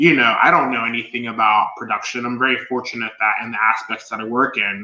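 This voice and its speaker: This man talks at a very fast pace. His intonation stays fairly even at a medium pitch. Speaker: podcaster and fashion stylist. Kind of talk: casual chat. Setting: live stream.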